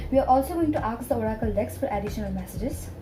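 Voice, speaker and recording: A woman speaks with music in the background. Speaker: tarot reader. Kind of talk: tarot reading to camera. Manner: hesitant, rambling.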